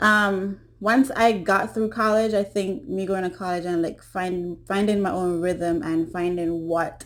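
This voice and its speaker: A woman speaks with a Caribbean accent at a fairly slow pace. She hardly pauses, and her pitch varies in an ordinary way. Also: medium pitch for a woman. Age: 20s. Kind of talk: casual talk to camera.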